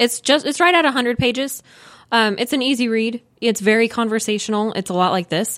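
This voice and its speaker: Fairly high-pitched and moving at a fairly quick pace, a woman talks in a plain, everyday voice with ordinary pitch variation. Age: 30s. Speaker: house flipper. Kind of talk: interview.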